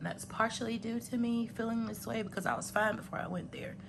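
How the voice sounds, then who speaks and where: Over audible room echo, a woman with vocal fry talks at a fairly quick pace. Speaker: budgeting vlogger and healthcare worker. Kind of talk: casual vlog talk and money counting tutorial. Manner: conversational with many fillers.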